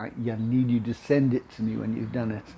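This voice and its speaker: With light background noise behind him, a man speaks at a moderate pace in a somewhat breathy voice with a dark, mellow tone. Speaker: video confidence coach. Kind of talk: casual tutorial vlog. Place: kitchen.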